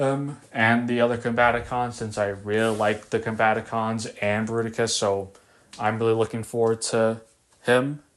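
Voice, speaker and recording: A man's intonation stays monotone and flat as he talks at a moderate pace. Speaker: toy collector YouTuber. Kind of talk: casual video commentary. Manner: stutter; halting, with fillers and repetitions.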